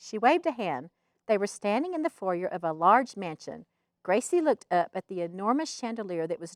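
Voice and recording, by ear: Someone reads aloud in a natural voice against a quiet background.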